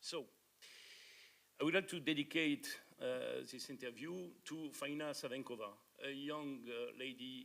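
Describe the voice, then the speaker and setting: The speaker has a French accent and ordinary pitch variation. Long, frequent pauses break up the speech. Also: man, fairly high pitch for a man, fairly slow pace. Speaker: conference speaker, author. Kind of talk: conference presentation. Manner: halting.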